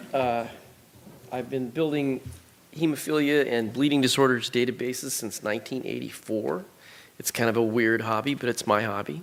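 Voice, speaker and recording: A man with an unremarkable speaking voice talks at a moderate pace, his pitch medium and its variation ordinary. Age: 60s. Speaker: bleeding disorders database researcher. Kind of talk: conference presentation.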